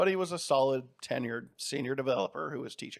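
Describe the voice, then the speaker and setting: A man's pitch varies in an ordinary way on a very clean recording, the background silent. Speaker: podcast host. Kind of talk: solo podcast monologue. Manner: fast; high energy.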